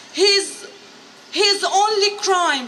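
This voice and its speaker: Amid noticeable background noise and audible room echo, a woman uses a raised, projected voice at an extremely high pitch. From Syria. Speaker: refugee artist and activist. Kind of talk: prepared testimony speech. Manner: halting, occasional restarts.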